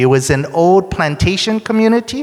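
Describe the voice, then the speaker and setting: A man speaks at a fairly slow pace. Noticeable background noise runs under his voice. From Hawaii. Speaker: education consultant, keynote speaker. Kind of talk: keynote presentation.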